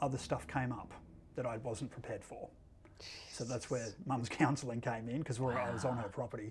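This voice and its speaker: A man speaks with ordinary pitch variation in a dark, mellow tone that is somewhat breathy. Light background noise sits behind him. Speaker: filmmaker and actor. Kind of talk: interview questions, casual conversation. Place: studio. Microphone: lapel.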